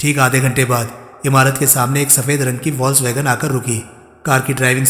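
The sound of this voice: The reading voice here is an unforced one.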